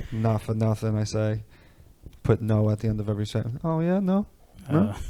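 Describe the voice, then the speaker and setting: Fairly quick and in a New York accent, a man speaks with a dark, mellow tone at a fairly low pitch with ordinary pitch variation. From New York (Canarsie, Brooklyn and Long Island). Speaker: rapper. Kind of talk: podcast interview. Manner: casual, with many fillers.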